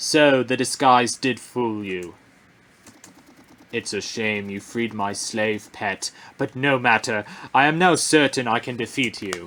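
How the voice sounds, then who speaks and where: A man speaks in a put-on character voice at a medium pitch. His pace is fairly slow, broken by long, frequent pauses. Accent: British. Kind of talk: theatrical. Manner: epic, menacing, grandiose.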